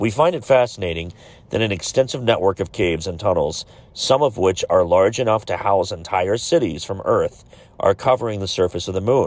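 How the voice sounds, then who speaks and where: A man in a normal speaking voice, fairly low in pitch, at a fairly quick pace with lively intonation. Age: 40s. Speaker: podcast host. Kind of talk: solo podcast monologue.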